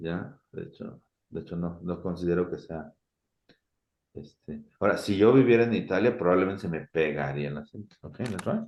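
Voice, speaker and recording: Talking at a very fast pace, a man with a Mexican accent has a very deep, low pitch. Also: ordinary pitch variation, big swings in loudness. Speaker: university teacher. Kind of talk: lecture. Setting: video call.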